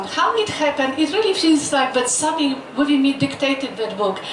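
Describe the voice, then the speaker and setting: With audible room echo and noticeable background noise, a woman speaks at a moderate pace in a high pitch with ordinary pitch variation. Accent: Polish. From Poland. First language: Polish. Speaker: doctor and author. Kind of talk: personal testimony. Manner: halting.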